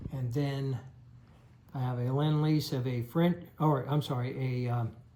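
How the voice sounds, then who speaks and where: A man's somewhat breathy, dark and mellow voice at medium pitch, fairly slow, with fairly even intonation. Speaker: board game player and video creator. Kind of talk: game turn narration. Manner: slow, deliberate.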